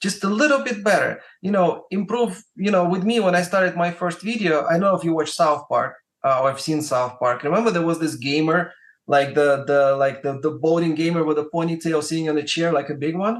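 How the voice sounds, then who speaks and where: Speaking fairly quickly in a Russian accent, a man uses a high pitch with ordinary variation. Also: quiet background. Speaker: music marketer and YouTuber. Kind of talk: podcast interview. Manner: hesitant, many fillers and repetitions.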